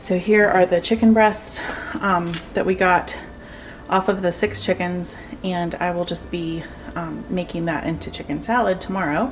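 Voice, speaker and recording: Over noticeable background noise, a woman speaks at a medium pitch and a moderate pace with ordinary pitch variation. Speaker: home cooking channel host. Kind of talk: cooking tutorial.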